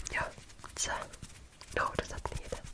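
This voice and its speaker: Whispering at a very slow pace, a woman can be heard over noticeable background noise. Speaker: ASMR creator. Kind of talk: ASMR follow-my-instructions roleplay. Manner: soft, calm, slow.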